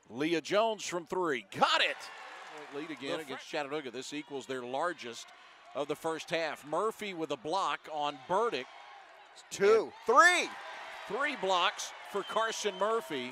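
The intonation is lively and the pace fairly slow. The sound is dry with no echo, though noticeable background noise is present. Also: man, high pitch for a man. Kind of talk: live sports commentary. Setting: basketball arena broadcast. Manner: rising energy on made shots. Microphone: headset.

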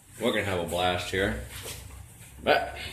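A man speaks fairly quickly with audible room echo and light noise in the background. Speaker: live streamer. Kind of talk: casual live stream chat.

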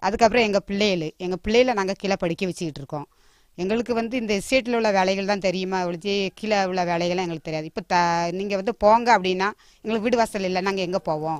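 Speaking at a medium pitch, a woman shows ordinary pitch variation. The sound is dry with no echo, and the background is quiet. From Manjolai tea estate, Tirunelveli district, Tamil Nadu; Tamil Nadu. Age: 50s. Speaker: tea estate worker. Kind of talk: interview testimony. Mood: worried, complaining. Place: street. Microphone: handheld.

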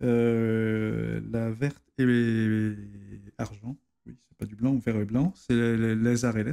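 Over a quiet background, a man speaks at a very slow pace. His tone is dark and mellow, his intonation fairly even. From La Rochelle, western France; France. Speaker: navy officer and history author; guest. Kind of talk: interview conversation. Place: studio. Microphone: studio mic.

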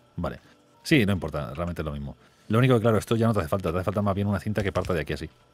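With faint music in the background and a dry sound with no echo, a man talks at a very fast pace in a very deep, low voice with lively intonation. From Spain, small town. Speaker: gaming YouTuber. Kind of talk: casual gaming chat. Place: home room. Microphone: studio mic.

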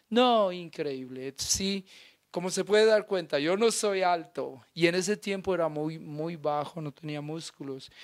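Captured in a very clean recording with a silent background, the voice goes at a fairly slow pace with ordinary pitch variation. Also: man, high pitch for a man. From Colombia, Nariño. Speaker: actor. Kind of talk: interview.

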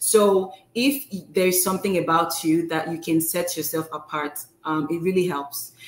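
With a non-native accent, a woman speaks at a fairly low pitch and a moderate pace. Her pitch varies in an ordinary way, and room echo is audible. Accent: foreign-accented English. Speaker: pharmacist and postdoctoral fellow; guest. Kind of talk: informal interview. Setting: live video stream. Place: home room.

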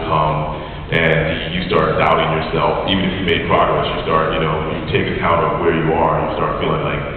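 At a fairly quick pace, a man speaks in a very deep, low pitch with monotone, flat intonation, amid light background noise and strong room echo. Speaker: guest. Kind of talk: interview answer. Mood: candid, reflective. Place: hall.

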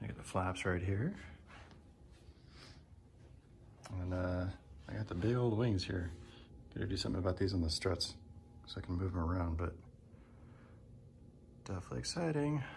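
Light background noise sits behind a man's very deep, low, somewhat breathy voice as he speaks at a fairly quick pace. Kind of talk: casual vlog chat. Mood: excited. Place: garage. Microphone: phone near.

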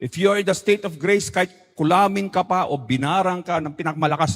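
At a moderate pace and with ordinary pitch variation, a plain, everyday voice comes through on a very clean recording with a silent background. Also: man. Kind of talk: talk or homily.

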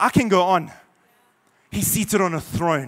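A man speaks in an animated tone. The background is quiet. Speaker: visiting preacher. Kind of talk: sermon. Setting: church, in front of a congregation. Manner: impassioned, rising in fervor, with pauses and repeats; animated, rallies the congregation. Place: church. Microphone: handheld.

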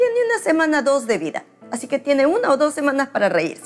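A woman talks at a moderate pace. Behind her, faint music can be heard. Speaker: pastor. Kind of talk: sermon. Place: home room. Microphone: lapel.

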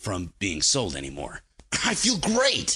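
A man's put-on character voice, strained, hoarse and raspy, at a fairly low pitch and fairly slow pace. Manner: cheerful, enthusiastic.

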